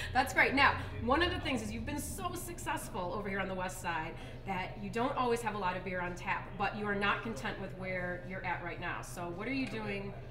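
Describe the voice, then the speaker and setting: A woman talks at a fairly quick pace. Clear music plays in the background. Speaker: TV show host. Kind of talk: interview questions. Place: bar.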